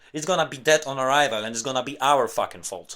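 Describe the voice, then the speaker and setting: On a very clean recording with a silent background, a man talks with a non-native accent. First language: not English. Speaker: tech YouTuber. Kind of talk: rant monologue. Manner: animated.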